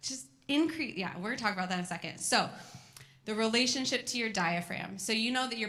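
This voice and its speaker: Bright, sharp and animated, a woman's voice at medium pitch carries lively intonation. There is audible room echo. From California. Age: 30s. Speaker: physical therapist. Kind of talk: educational talk to a moms group. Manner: fast.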